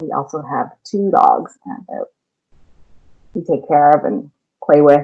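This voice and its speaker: Speaking at a fairly slow pace in a Californian accent, a woman with a dark, mellow tone lets her pitch swing very widely. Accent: California. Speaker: elementary school teacher. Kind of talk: lesson for children.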